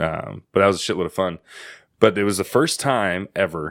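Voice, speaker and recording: A man speaks at a moderate pace with fairly even intonation, recorded very cleanly against a silent background. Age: 30s. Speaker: podcast host, veterinary worker. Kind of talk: casual chat.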